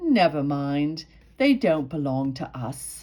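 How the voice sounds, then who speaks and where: A woman's put-on character voice, very deep and low in pitch. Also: fairly slow pace. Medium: read story. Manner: polite, refined, slightly condescending.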